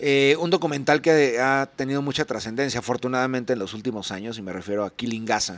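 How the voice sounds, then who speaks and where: A man talks at a very fast pace with hardly any pauses. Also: medium pitch for a man, ordinary pitch variation. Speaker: political commentary youtuber. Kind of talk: recorded video commentary.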